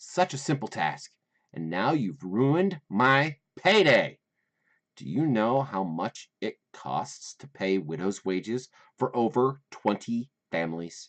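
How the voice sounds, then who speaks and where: In a shrill, put-on character voice, a man sounds angry at a medium pitch, with very wide pitch swings, big swings in loudness, a fairly slow pace, and a dry, close sound with no echo. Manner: shrill, screeching, angry.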